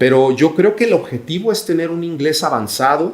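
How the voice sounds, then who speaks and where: With a Guadalajara accent, a man talks at a fairly quick pace, his intonation lively. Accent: Mexican Spanish (Guadalajara). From Mexico, Guadalajara. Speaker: business executive. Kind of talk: podcast interview.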